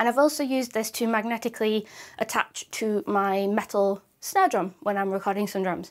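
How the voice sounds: A woman at medium pitch, moderate pace and fairly even intonation.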